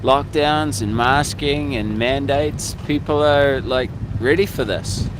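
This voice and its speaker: A man with a fairly high pitch speaks at a fairly slow pace with ordinary pitch variation, over audible room echo and noticeable background noise. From New Zealand. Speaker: protester. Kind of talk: street interview. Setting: outdoors.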